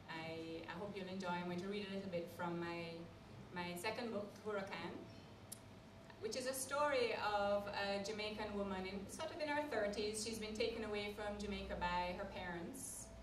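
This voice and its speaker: Through noticeable background noise, a woman talks at a moderate pace with a medium pitch and ordinary pitch variation. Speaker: novelist. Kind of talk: live talk to an audience.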